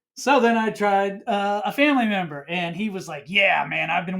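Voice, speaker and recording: A man is speaking. His voice is loud. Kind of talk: casual chat.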